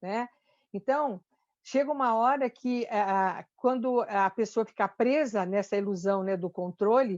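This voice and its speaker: Over a quiet background, a woman with a fairly high voice speaks at a fairly slow pace with ordinary pitch variation. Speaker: church speaker on anxiety and fear. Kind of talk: talk in a church meeting. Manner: halting, many fillers and restarts.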